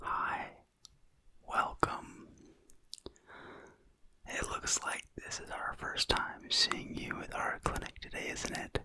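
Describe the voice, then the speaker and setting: A man whispers in a breathy, put-on character voice. He goes at a fairly slow pace with long, frequent pauses. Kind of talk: ASMR roleplay.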